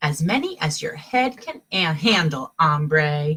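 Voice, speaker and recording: A put-on character voice in a Spanish accent comes at a middle pitch and a fairly slow pace. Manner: playful.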